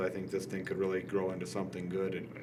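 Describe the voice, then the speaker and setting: A man talks fairly quickly in a space with audible room echo. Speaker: city official. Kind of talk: public meeting discussion. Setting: city commission meeting.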